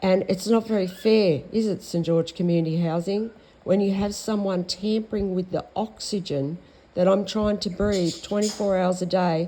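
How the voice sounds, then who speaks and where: With an Australian accent, a woman talks at a moderate pace and medium pitch. Her tone is dark and mellow, her intonation fairly even. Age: 60s. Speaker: vlogger. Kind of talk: monologue. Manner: halting.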